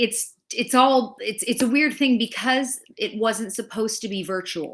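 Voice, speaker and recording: Speaking in a normal speaking voice with an American accent, a woman talks at a fairly slow pace and fairly high pitch. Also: ordinary pitch variation. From Los Angeles, US. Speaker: film critic and show co-host. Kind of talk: casual chat, livestream reading viewer comments.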